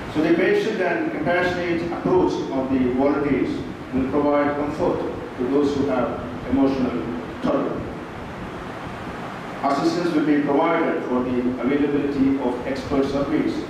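Amid strong room echo and noticeable background noise, a man talks at a moderate pace with very even loudness, fairly even intonation and long, frequent pauses. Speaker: speaker. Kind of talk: formal speech. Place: hall.

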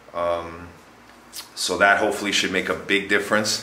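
Audible room echo surrounds a man's voice. He moves at a moderate pace with ordinary pitch variation. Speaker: vlogger. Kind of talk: casual vlog chat. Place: home room. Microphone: phone near.

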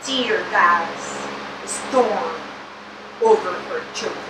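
A woman talks at a very slow pace, with noticeable background noise present. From Venezuela. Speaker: poet. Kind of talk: poetry reading. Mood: solemn, serious. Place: shop.

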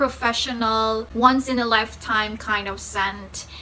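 A woman speaks at a fairly high pitch in a bright, sharp tone. There is faint background noise.

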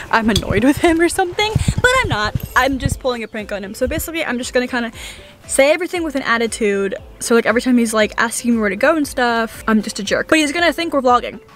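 Over faint background music, a woman talks very fast at a high pitch, the sound dry with no echo. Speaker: vlogger. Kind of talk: casual vlog chat. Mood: playful, excited about prank. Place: car. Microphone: phone near.

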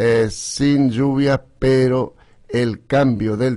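A man's voice, with fairly even intonation, comes through over a quiet background. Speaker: radio host, agricultural journalist. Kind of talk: radio weather commentary. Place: studio.

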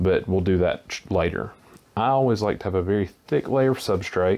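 A man talks with a fairly low pitch, ordinary pitch variation, and a moderate pace. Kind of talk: tutorial. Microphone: phone near.

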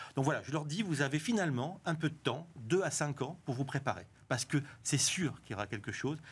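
Somewhat breathy, a man talks at a fairly quick pace in a fairly high pitch with ordinary pitch variation. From southwest France. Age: 50s. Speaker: tech company co-founder and author; guest. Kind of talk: TV interview. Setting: TV studio. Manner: halting, with repetitions. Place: studio. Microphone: lapel.

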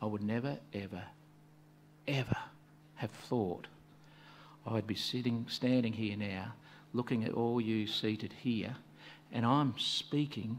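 A man speaks with long, frequent pauses and fairly even intonation. Light background noise sits behind him. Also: fairly slow pace. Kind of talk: sermon. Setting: hall with congregation. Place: hall. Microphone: podium.

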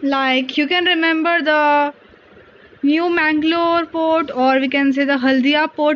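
High-pitched and with fairly even intonation, a woman speaks. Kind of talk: study tips tutorial. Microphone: phone near.

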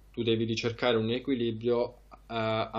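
At a moderate pace, a man talks in a monotone, flat way at medium pitch. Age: 20s. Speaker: trader; interviewee. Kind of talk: interview. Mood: calm, reflective. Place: home room. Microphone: headset.

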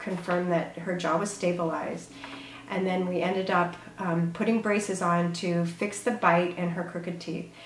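Room echo can be heard and there is light background noise. A woman speaks with a fairly low pitch and fairly even intonation. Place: office.

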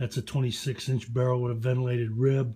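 Over a quiet background, a man speaks in a dark, mellow tone. His delivery is somewhat breathy, with monotone, flat intonation. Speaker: gun owner reviewer. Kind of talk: casual product review rant. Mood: opinionated, profane, challenging. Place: home room. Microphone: phone near.

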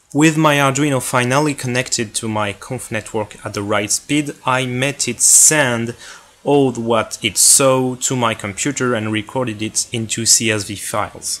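With a French accent, a man at medium pitch talks at a fairly slow pace with hardly any pauses and fairly even intonation over noticeable background noise. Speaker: hobbyist maker, tech video creator. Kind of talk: project explanation video.

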